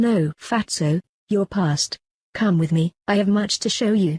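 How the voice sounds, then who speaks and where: A cartoonish character voice, female-sounding, at a medium pitch. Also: fairly slow pace. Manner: calm, solemn, occasionally tart.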